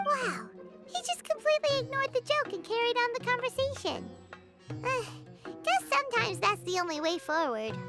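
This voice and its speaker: Over loud music in the background, a woman does a squeaky, put-on character voice at an extremely high pitch and a fairly quick pace. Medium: game stream.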